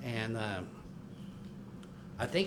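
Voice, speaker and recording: A man is speaking with audible room echo. Noticeable background noise can be heard too. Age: 60s. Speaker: public commenter at city council meeting. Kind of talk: public comment at council meeting. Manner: halting, frequent fillers and restarts.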